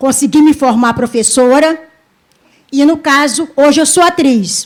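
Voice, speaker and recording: A woman speaks in a high pitch. Her loudness stays very even. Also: ordinary pitch variation, fairly slow pace. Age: 60s. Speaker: actress. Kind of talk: audience remark at panel.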